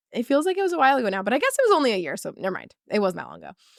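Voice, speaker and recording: A woman's animated tone comes through with a dry, close sound and no echo. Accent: New York. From New York. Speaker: confidence coach. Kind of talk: podcast monologue. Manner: casual, animated.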